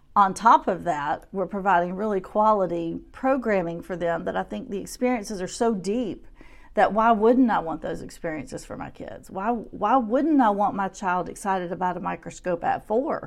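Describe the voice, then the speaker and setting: With a Southern US accent, a woman at a medium pitch speaks at a moderate pace with lively intonation, big swings in loudness and hardly any pauses, against a quiet background. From US South, Shreveport, Louisiana. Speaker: preschool teacher. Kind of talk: interview.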